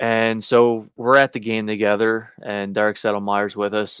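Using a normal speaking voice of medium pitch, a man speaks at a fairly slow pace, the sound dry and close with no echo. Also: quiet background. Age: 20s. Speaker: hockey podcast host. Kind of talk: casual chat.

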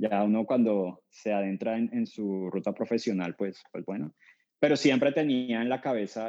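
Against a quiet background, a man speaks in a fairly low pitch with a dark, mellow tone, ordinary pitch variation and a moderate pace. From Colombia, Cali. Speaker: startup founder. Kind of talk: interview.

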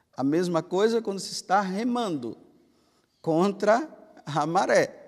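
The delivery is very slow, with lively intonation and big swings in loudness. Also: man, high pitch for a man. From Brazil, Bahia. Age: 50s. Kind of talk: homily.

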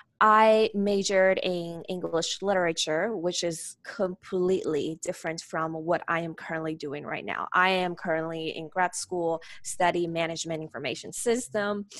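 Against a quiet background, a woman with a Chinese accent speaks in a fairly low pitch with fairly even intonation. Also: moderate pace. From China, Nanjing. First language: Mandarin Chinese. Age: 20s. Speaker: graduate student. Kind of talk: casual interview.

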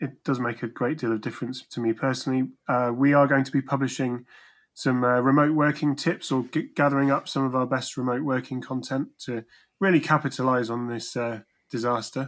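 A man with an unremarkable speaking voice talks at a moderate pace in a medium pitch with fairly even intonation, recorded very cleanly against a silent background. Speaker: podcast host and producer. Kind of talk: casual chat.

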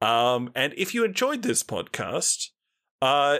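A man's voice with an Australian accent. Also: very clean recording, silent background. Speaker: podcast host. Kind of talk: casual chat.

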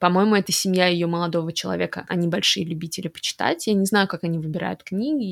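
This is a woman with an unremarkable speaking voice, medium in pitch with ordinary pitch variation. The sound is dry and close with no echo, on a very clean recording with a silent background. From Russian-speaking, raised partly in Montreal. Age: 30s. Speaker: podcast co-host. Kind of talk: casual chat.

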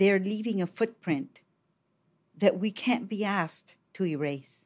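A woman with a Colombian accent at medium pitch, ordinary pitch variation and a very slow pace, on a very clean recording with a silent background. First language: Spanish. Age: 60s. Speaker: poet, filmmaker and regional editor. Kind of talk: casual interview conversation. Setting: studio.

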